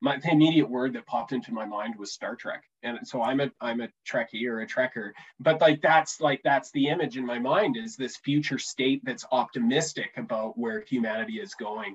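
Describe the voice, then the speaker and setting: A man with a Canadian accent, an ordinary speaking voice, speaks at a moderate pace in a medium pitch with lively intonation and hardly any pauses. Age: 30s. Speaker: economic development executive and fiction author. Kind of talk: casual interview.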